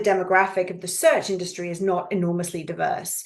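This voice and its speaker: A woman speaks with a British accent. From Canada (Yukon, Alberta), then England from age eleven. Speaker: executive search consultant. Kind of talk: podcast interview.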